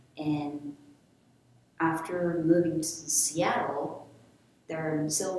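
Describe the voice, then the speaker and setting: A woman at a very slow pace and fairly low pitch, with noticeable background noise and audible room echo. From Japan (Kanagawa and Tokyo). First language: Japanese. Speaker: manga artist. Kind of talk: personal narration. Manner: halting.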